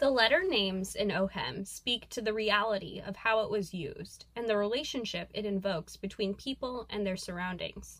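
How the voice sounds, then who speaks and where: In an ordinary speaking voice, a woman talks at a moderate pace with a fairly high pitch and ordinary pitch variation. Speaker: student curator. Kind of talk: scripted segment reading.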